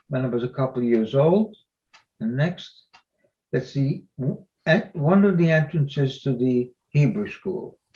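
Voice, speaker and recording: Somewhat breathy speech with a dark, mellow tone at a moderate pace. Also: man. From Belgium (Antwerp). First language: not English. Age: 90s. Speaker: Holocaust survivor speaker. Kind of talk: presentation with slides.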